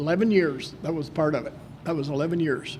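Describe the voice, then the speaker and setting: There is audible room echo around a man speaking at a high pitch. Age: 80s+. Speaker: inductee, former Olympic wrestler and coach. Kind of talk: acceptance speech. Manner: halting.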